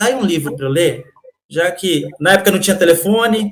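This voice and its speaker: A man with lively intonation. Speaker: podcast guest, storyteller. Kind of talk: interview answer, personal story.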